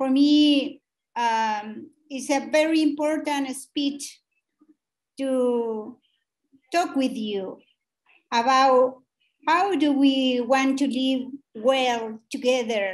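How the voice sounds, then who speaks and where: Here a woman talks at a very slow pace with long, frequent pauses. Her pitch is high, and she has a Chilean accent. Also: ordinary pitch variation. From Chile, Mapuche community. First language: Mapudungun. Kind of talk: formal panel speech. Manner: halting.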